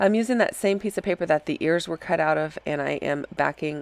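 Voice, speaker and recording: Recorded dry and close with no echo, a woman speaks with a very deep, low pitch and ordinary pitch variation. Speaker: scrapbooking crafter. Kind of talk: voiceover tutorial. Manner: casual with fillers.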